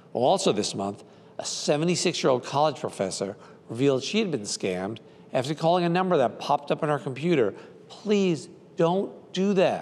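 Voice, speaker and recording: A man talks at a moderate pace. His pitch swings very widely. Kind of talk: scripted consumer warning to camera. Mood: earnest, cautionary. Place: studio. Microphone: lapel.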